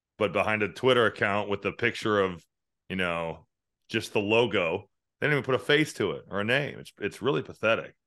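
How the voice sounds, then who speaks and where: A man talks at a fairly quick pace in a fairly low pitch with ordinary pitch variation, an unremarkable speaking voice. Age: 30s. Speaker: college basketball analyst and commentator. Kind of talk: casual chat.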